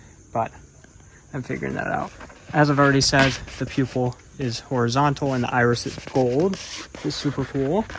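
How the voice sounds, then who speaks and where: Amid noticeable background noise, a speaker with an American accent talks at a fairly quick pace broken by long, frequent pauses. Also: man. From United States. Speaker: nature vlogger. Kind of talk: casual educational vlog. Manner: casual, with frequent fillers.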